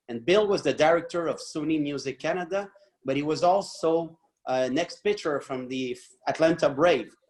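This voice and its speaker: The speaker talks in a Quebec accent with ordinary pitch variation. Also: man, fairly high pitch for a man, moderate pace. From Quebec, Montreal. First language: French. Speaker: podcast co-host. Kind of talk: casual chat.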